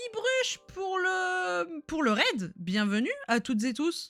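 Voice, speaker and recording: Her voice high-pitched, a woman talks with very wide pitch swings. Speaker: streamer hosting a quiz game. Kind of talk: live stream commentary. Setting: live stream. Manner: loud; animated.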